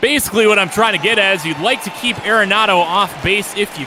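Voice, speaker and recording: A man with an American accent speaks in a raised, projected voice, high in pitch for a man, with ordinary pitch variation and crowd noise in the background. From US Midwest, Lake Michigan area. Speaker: play-by-play announcer. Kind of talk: live commentary. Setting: online live stream.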